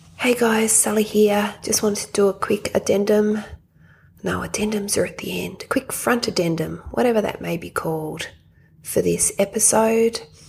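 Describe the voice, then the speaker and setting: Background noise is noticeable throughout. Over it, a woman talks at a moderate pace. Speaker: podcast co-host. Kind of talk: casual chat. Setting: hospital bedside.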